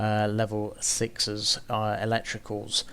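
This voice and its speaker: In a very clean recording with a silent background, a soft-spoken man talks at a fairly low pitch. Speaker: gaming YouTuber. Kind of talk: gaming commentary.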